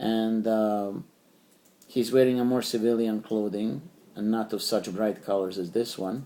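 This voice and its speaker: A man speaks at a medium pitch with fairly even intonation. His tone is dark and mellow. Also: fairly slow pace. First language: Serbian. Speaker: toy collector YouTuber. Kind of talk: product review. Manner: halting, many fillers.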